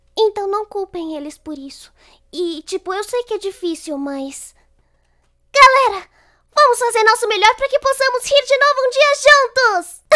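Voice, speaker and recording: A woman projects a raised voice with a bright, sharp tone at a fairly slow pace, her pitch swinging very widely and her loudness shifting greatly over a quiet background. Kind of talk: acted dubbing of anime dialogue. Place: home room. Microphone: studio mic.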